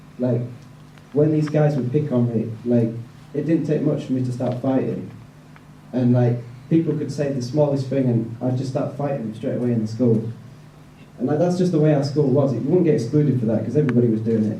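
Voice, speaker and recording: Speaking in a Yorkshire accent at a medium pitch, a man moves at a fairly quick pace with fairly even intonation and long, frequent pauses, amid audible room echo. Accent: northern English (Yorkshire). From northern England, West Yorkshire (Bradford). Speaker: evangelist. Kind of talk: testimony. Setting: event with audience, handheld mic. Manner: casual, many fillers (like, um).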